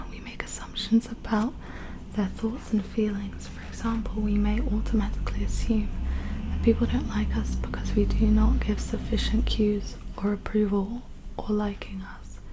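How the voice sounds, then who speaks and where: A woman at a moderate pace, with big swings in loudness and noticeable background noise. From England. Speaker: ASMR creator. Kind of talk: self-help book reading. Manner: soft-spoken.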